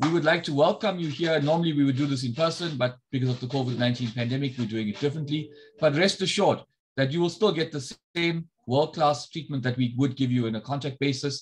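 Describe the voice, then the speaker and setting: Somewhat breathy, a man talks at a very fast pace with ordinary pitch variation. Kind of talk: welcome address. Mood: warm, encouraging. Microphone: video call.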